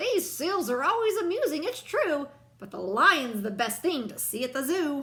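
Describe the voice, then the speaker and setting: Using a put-on character voice, a woman speaks high and at a moderate pace with very wide pitch swings. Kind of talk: bedtime story. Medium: read story. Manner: haughty.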